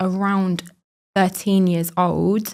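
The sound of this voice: A woman speaks in a clear, smooth tone. The recording is very clean, with a silent background.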